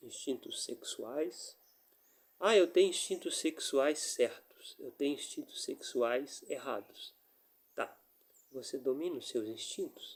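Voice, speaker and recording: At a very slow pace, a man speaks with big swings in loudness. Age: 60s. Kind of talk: religious reflection monologue.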